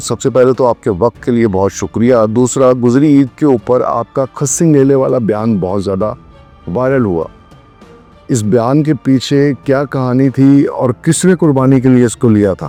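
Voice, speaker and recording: A man speaks at a medium pitch with ordinary pitch variation, with music in the background. The sound is dry and close, with no echo. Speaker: interviewer. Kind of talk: interview questions.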